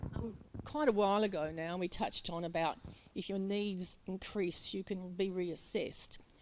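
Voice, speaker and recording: A woman's medium-pitched voice with an Australian accent, at a moderate pace with ordinary pitch variation. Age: 70s. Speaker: audience member, aged care recipient. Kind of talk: question from the floor.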